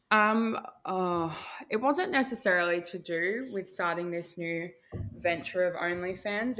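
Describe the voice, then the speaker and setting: A woman has an unremarkable speaking voice at a fairly low pitch. Her pitch varies in an ordinary way. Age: 20s. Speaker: content creator. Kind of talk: casual chat.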